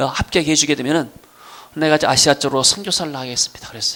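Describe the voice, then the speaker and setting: Noticeable background noise sits beneath speech delivered at a very fast pace. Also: man. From South Korea, Gwangju / Jeolla region. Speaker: pastor. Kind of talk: sermon. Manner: halting, with fillers.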